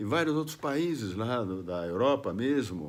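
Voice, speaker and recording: A man speaks very slowly at medium pitch with lively intonation. Room echo is audible. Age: 70s. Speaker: political video blogger. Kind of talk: political monologue to camera. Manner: halting, with fillers and restarts.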